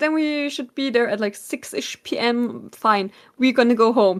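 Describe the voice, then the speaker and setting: A woman's high-pitched voice with a German accent and lively intonation. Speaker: podcast co-host. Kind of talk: casual chat.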